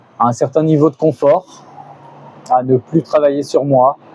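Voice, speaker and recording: Dry and close with no echo, a man's voice comes at a fairly slow pace. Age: 50s. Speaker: beginner YouTuber, vlogger. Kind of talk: personal vlog monologue. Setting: outdoors on a balcony. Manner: halting, many hesitations.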